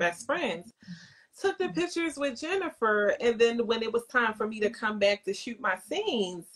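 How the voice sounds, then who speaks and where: With a Philadelphia accent, a woman talks at a moderate pace in a fairly high pitch that swings very widely. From Baltimore, US. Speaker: makeup entrepreneur and actress. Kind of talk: interview. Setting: Instagram live video call.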